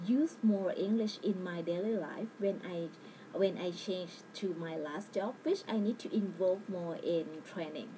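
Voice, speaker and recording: A woman at a medium pitch speaks fairly slowly with ordinary pitch variation, and noticeable background noise is present. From Thailand. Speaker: language student. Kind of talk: personal narrative. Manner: halting.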